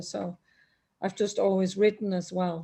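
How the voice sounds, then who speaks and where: A woman talks in a somewhat breathy voice. The background is quiet. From Netherlands and south of France. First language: French and Dutch. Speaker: opera singer and author. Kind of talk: interview.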